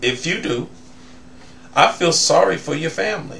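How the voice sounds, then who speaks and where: A man talks at a moderate speed in a room with audible echo, and background noise is noticeable. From US South. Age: 60s. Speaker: vlogger. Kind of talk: commentary monologue.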